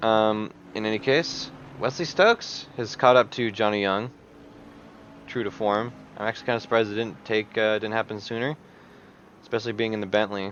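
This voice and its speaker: Speaking at a fairly quick pace but with long, frequent pauses, a man uses a fairly low pitch and fairly even intonation. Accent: American. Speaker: sim racing commentator. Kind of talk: live commentary. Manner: casual, joking.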